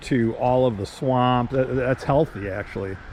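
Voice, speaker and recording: Using a plain, everyday voice with an American accent, a man speaks at a moderate pace and medium pitch with ordinary pitch variation. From Michigan, US. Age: 60s. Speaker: travel vlogger. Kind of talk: casual travel narration. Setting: outdoors and in a car. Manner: casual, with fillers and repetitions.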